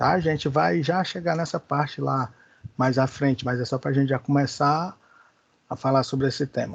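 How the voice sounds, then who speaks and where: This man's voice sits at a fairly high pitch. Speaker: Bible school teacher. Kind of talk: lecture. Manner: slow.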